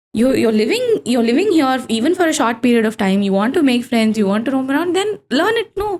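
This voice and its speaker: A woman with a Kannada accent speaks at a high pitch and a very fast pace. Her pitch swings very widely while her loudness stays very even. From South India, Kannada-speaking family. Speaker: data engineer and yoga instructor. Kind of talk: podcast interview.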